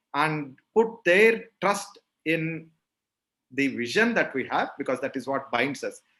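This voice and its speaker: At a very slow pace, a man with a South Indian accent speaks in a bright, sharp tone, his fairly high pitch carrying lively intonation. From South India, Rayalaseema region (Andhra/Karnataka). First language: Telugu. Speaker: agri-fintech company founder. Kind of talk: interview conversation.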